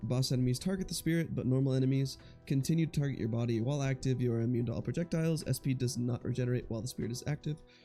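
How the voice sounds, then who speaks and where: A man at a very fast pace with hardly any pauses, ordinary pitch variation, and music in the background. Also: medium pitch for a man. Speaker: gaming YouTuber. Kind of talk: casual gameplay commentary.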